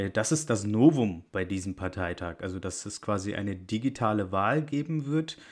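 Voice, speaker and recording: On a very clean recording with a silent background, a man with a fairly low pitch speaks fairly slowly with lively intonation. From Bavaria. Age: 20s. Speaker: podcast co-host, political scientist. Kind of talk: casual political chat. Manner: hesitant, frequent fillers.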